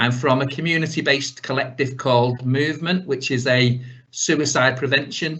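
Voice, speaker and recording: A man speaks with a northern English accent. His pitch varies in an ordinary way. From northern England. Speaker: suicide prevention organizer. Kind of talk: webinar presentation. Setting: video call. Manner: fast.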